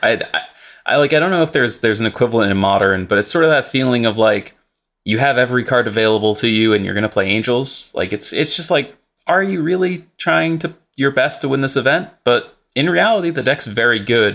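A man talks at a fairly quick pace with lively intonation and a medium pitch, in an ordinary speaking voice. The recording is very clean, with a silent background. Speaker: Magic: The Gathering streamer and writer. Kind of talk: casual podcast discussion of game strategy.

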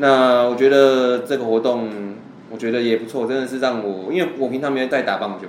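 A man with a medium pitch speaks at a fairly quick pace with fairly even intonation. Audible room echo and noticeable background noise fill the recording. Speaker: baseball podcast co-host. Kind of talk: casual chat.

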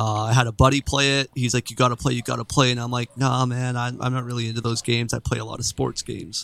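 Very fast, monotone, flat speech from a man in a medium pitch with a western Canadian accent, hardly any pauses, and a dry, close sound with no echo. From Canada, Vancouver Island. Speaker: gaming streamer. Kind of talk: casual chat.

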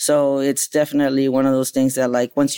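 In a dry, close recording with no echo, a man with a normal speaking voice and fairly high pitch talks at a fairly quick pace. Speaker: chef and restaurant owner. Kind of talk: casual chat.

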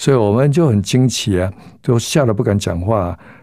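The man's tone is dark and mellow, and he moves at a fairly quick pace. The background is silent in this very clean recording. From southern Taiwan. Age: 70s. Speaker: pastor. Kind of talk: testimony.

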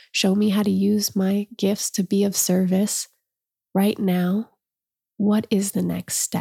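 A woman's somewhat breathy voice of medium pitch and dark, mellow tone, very slow and monotone with flat intonation, very even loudness, and a dry, close sound with no echo. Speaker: podcast host and storyteller. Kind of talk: casual interview conversation.

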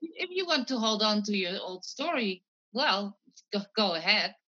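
A woman speaks with a Dutch accent. Her pace is fairly slow. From Netherlands. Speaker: mind-calming coach. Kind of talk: interview.

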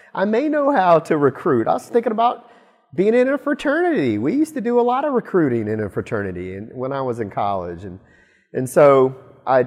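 A man with an American accent swings his pitch very widely against a quiet background. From Alabama, US South. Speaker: company executive. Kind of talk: interview.

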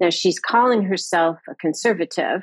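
A woman with an American accent speaks in a normal speaking voice at a medium pitch and moderate pace, with ordinary pitch variation. The sound is dry and close with no echo, over a quiet background. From US West Coast, California. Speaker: historian. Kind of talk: interview.

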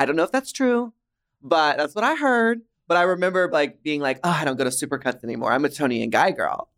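A man with an American accent, fairly high in pitch, with very wide pitch swings and a very fast pace, in a dry, close sound with no echo. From Dallas, Texas. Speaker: drag performer and podcast host. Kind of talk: casual chat. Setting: studio, in person.

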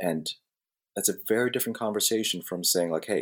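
Someone talks at a moderate pace with an American accent on a very clean recording with a silent background. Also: man. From New Jersey, Jersey City. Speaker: osteopathic physician podcast co-host. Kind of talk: casual chat.

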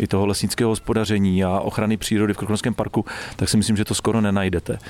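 At a very fast pace, a man speaks in a fairly low, monotone, flat voice. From Czechia, Trutnov (Krkonoše region). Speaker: forestry school director. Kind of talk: interview on a forest walk. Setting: outdoors in a forest.

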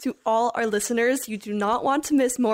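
This woman has a normal speaking voice with ordinary pitch variation. She talks at a fairly quick pace. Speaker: student podcast host. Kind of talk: casual chat.

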